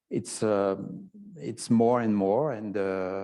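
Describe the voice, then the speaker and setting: A man's very slow, dark and mellow voice in a French accent, over a quiet background. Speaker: photography historian. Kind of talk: interview conversation. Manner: halting, many fillers.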